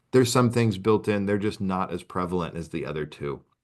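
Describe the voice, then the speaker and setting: A man with an American accent speaks at a fairly low pitch. His pitch varies in an ordinary way against a quiet background. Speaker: assistive technology presenter. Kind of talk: webinar presentation. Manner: fast.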